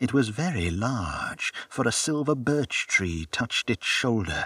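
In a dry, close sound with no echo, a man with a plain, everyday voice speaks at a fairly slow pace, his medium pitch carried by lively intonation. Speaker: audiobook narrator. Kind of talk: literary audiobook reading, narrating a first-person Victorian sci-fi story. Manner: steady, measured storytelling pace with hushed wonder; formal, clear, and expressive in a scripted way.

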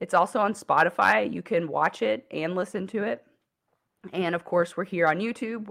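Vocal fry runs through lively intonation delivered at a moderate pace. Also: woman, fairly low pitch for a woman. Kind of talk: solo teaching talk. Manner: hesitant, many fillers.

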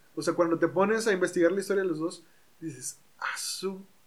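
A man's high-pitched voice at a moderate pace with fairly even intonation. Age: 20s. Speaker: psychologist and podcast host. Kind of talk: casual chat. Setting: home recording.

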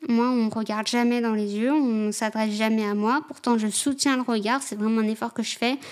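A woman speaks at a moderate pace in a fairly high pitch. Her intonation stays fairly even. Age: 20s. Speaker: social worker with offenders. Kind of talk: personal testimony interview. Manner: halting, many hesitations.

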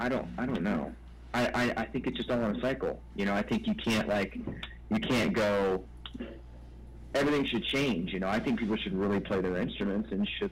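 Keeping his loudness very even, a man speaks at a fairly quick pace. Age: 30s. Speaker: rock musician. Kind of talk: interview.

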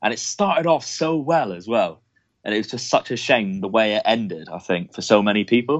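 A man with an English accent speaks at a fairly quick pace, his medium-pitched voice carrying lively intonation. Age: 20s. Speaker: wrestling fan guest. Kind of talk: casual chat.

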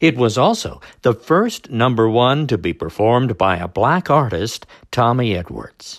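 A man with a plain, everyday voice, medium pitch, lively intonation and a fairly slow pace. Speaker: radio oldies dj. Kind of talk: scripted radio-style music history segment, podcast intro and outro. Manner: brisk, polished, upbeat announcer delivery; formal, informative, repeats the same patter.

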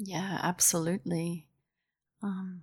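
A woman's fairly low-pitched voice at a very slow pace, in a very clean recording with a silent background. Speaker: podcast host and interviewer. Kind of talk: interview conversation.

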